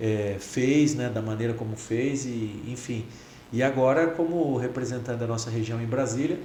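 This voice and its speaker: A man's moderately paced, fairly even-toned speech carries audible room echo and noticeable background noise. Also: medium pitch for a man. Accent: São Paulo interior. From interior of São Paulo state (Bragança Paulista region). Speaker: federal congressman. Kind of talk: casual interview chat.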